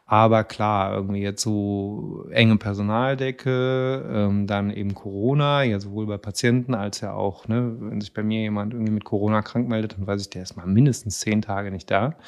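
A man with an ordinary speaking voice, fairly low in pitch, with fairly even intonation at a moderate pace. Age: 40s. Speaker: psychiatrist, chief physician. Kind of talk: casual interview chat.

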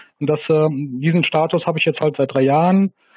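Monotone, flat intonation marks this man's fairly high-pitched speech. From Rhineland, near Bonn. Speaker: gin producer. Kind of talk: interview. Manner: halting.

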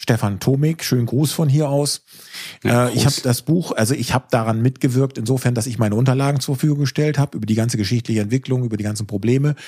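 At a very fast pace, a man speaks at medium pitch in a somewhat breathy, dark, mellow tone with fairly even intonation. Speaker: solar entrepreneur. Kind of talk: casual chat.

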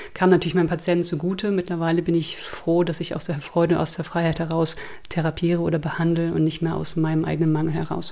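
Over noticeable background noise, a woman talks very fast at a fairly low pitch in a monotone, flat intonation. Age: 30s. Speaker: therapist, abuse survivor. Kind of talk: interview testimony.

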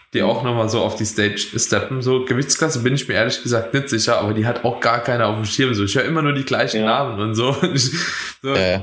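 In a room with audible echo, a man of medium pitch talks very fast. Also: ordinary pitch variation, very even loudness. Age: 20s. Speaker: podcast host and bodybuilding coach. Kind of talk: casual chat.

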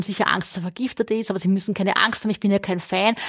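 A woman with a medium pitch talks at a very fast pace. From southern Burgenland, Austria. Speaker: crime novelist. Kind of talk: casual interview. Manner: fast, talkative.

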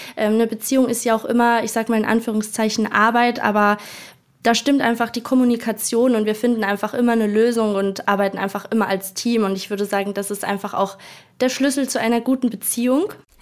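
The delivery is very fast, with fairly even intonation. Noticeable background noise runs underneath. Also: woman, fairly high pitch for a woman. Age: 20s. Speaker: travel influencer. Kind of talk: interview.

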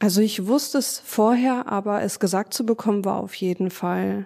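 A dark, mellow tone at a fairly slow pace. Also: woman. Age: 30s. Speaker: nurse with rheumatism, patient guest. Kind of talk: personal testimony interview.

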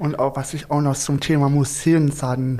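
A man talks in a monotone, flat intonation. His pace is fairly slow and his pitch fairly high. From Stuttgart. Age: young. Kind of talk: casual chat.

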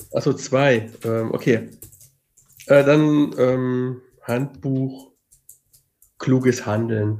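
At a very slow pace and medium pitch, a man speaks with long, frequent pauses. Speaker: podcast co-host. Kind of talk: casual chat.

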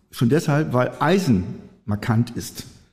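Somewhat breathy and dark, mellow in tone, the voice moves at a moderate pace with lively intonation. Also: man. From northwestern Germany, Friesoythe area (Oldenburger Münsterland). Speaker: trademark and patent attorney. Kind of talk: interview.

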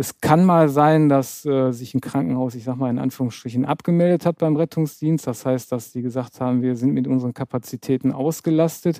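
This man's dark, mellow voice moves at a fairly quick pace with ordinary pitch variation and hardly any pauses. The sound is dry and close, with no echo. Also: medium pitch for a man. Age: 50s. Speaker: trauma surgeon. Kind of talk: interview.

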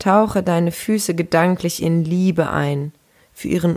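A woman speaks fairly slowly with fairly even intonation and a fairly low pitch. She has an unremarkable speaking voice. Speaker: empowerment coach. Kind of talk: guided meditation. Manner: slow, soft-spoken, soothing; calm, gentle, unhurried with pauses.

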